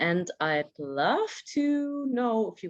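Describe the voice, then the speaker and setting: A woman's voice with a German accent and very wide pitch swings, against a quiet background. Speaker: audience member asking a question. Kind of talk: audience question. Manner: halting.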